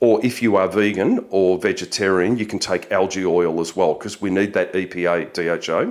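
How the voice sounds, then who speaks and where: With an Australian accent and fairly even intonation, the speaker moves at a fairly quick pace on a very clean recording with a silent background. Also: man. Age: 50s. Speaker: nutritionist and police officer, shift work educator. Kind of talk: interview. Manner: frequent filler words.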